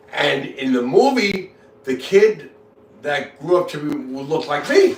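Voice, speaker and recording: Speaking at a fairly slow pace, a man with a fairly high pitch uses lively intonation and big swings in loudness. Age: 60s. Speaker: livestreamer. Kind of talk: casual chat. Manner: halting, heavy repetition.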